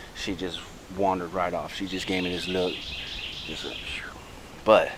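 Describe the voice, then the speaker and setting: Noticeable background noise and audible room echo surround a man's voice. He speaks at a moderate pace with a very deep, low pitch. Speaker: wildlife vlogger. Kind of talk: outdoor vlog narration. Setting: outdoors on a trail. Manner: soft-spoken.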